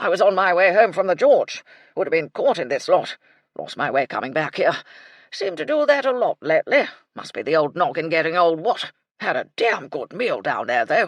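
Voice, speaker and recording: Someone puts on a raspy character voice at middle pitch and a moderate pace. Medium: read story. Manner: blustering, clipped, repeats "what".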